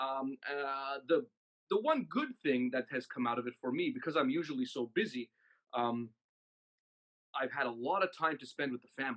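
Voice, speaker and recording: With a Canadian accent, a man speaks at a moderate pace and a fairly high pitch, with ordinary pitch variation, long, frequent pauses, and a dry, close sound with no echo. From Canada, Toronto. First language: Maltese. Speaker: musician and music director. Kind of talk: interview.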